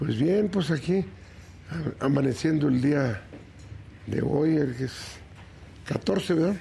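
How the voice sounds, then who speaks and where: Very slowly and with long, frequent pauses, a man speaks in a fairly high, dark, mellow voice with vocal fry and lively intonation. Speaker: politician, senator. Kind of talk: interview.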